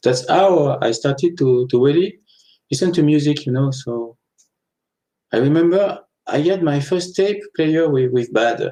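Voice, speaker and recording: A man's fairly high-pitched voice with a French accent, a dark, mellow tone, a fairly slow pace and long, frequent pauses. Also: ordinary pitch variation. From France, Annecy (French Alps). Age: 40s. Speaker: author. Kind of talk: interview.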